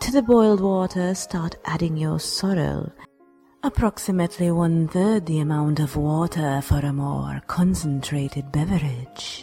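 At middle pitch and a moderate pace, someone does a put-on character voice amid hissing and faint music in the background. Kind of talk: parody cooking show narration. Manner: deadpan, formal, sardonic.

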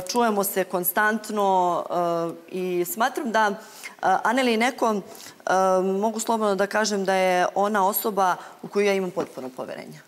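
A woman speaks at medium pitch with ordinary pitch variation. Her pace is moderate, broken by long, frequent pauses. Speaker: reality show contestant. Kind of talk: studio panel discussion. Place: studio. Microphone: lapel.

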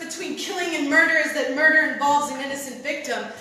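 Raising and projecting her voice, a woman speaks at a high pitch in an intense tone. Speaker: spoken word poet, competitor. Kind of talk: spoken word poetry performance. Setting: stage with audience. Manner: intense, emotional.

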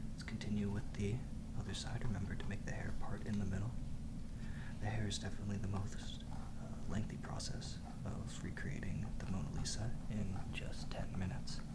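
A man whispers at a moderate pace, his loudness very even, with noticeable background noise. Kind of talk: ASMR drawing tutorial. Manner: whispered, relaxing.

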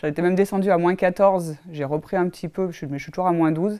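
A woman speaks with a fairly low pitch, a dark, mellow tone and fairly even intonation. The background is quiet. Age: 30s. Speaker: fitness program client giving a testimonial. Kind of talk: testimony; interview answer. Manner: hesitant, many fillers. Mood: warm, relaxed, positive. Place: office.

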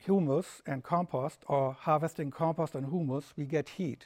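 This man speaks with a German accent at a fairly slow pace. His intonation is fairly even, and the background is quiet. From Germany. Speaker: lecturer. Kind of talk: lecture. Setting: festival talk with live audience. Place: hall.

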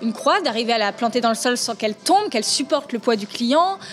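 A woman's high voice at a fairly quick pace, with faint music in the background. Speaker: interviewee. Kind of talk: interview answer. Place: bar. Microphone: camera far.

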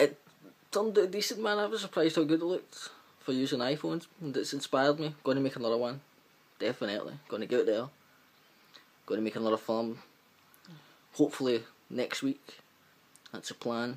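A man speaks with a strong Glaswegian accent and lively intonation at a fairly quick pace. Long, frequent pauses break up his speech. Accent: thick Glaswegian Scottish. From Glasgow, Scotland. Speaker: amateur filmmaker. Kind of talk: casual vlog talk to camera. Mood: upbeat, a bit shy. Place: home room. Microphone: webcam.

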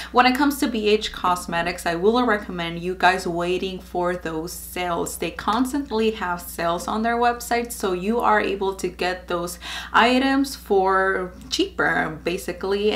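Ordinary pitch variation marks a woman's speech at a moderate pace. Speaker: beauty vlogger. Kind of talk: casual vlog chat. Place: home room.

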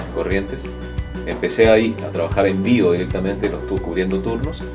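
Over clear background music, the speaker talks at a very fast pace with lively intonation. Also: man. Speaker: radio and TV announcer, voice-over professional with a home recording studio. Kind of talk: interview answer about his career. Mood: relaxed, friendly. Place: booth. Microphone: studio mic.

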